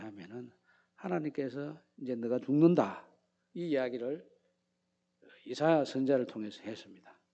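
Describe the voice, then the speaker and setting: This man speaks in a Gyeongsang accent with a dark, mellow tone at medium pitch. His speech has long, frequent pauses. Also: big swings in loudness. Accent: Gyeongsang dialect, imprecise pronunciation. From Gyeongsang region, Korea. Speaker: pastor. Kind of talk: sermon.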